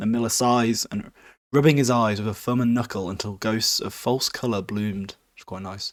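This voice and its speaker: With a British accent, the speaker keeps a fairly even intonation while loudness swings widely, on a very clean recording with a silent background. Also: man, medium pitch for a man, moderate pace. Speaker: podcast host. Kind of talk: casual book recap. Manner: informal, joking.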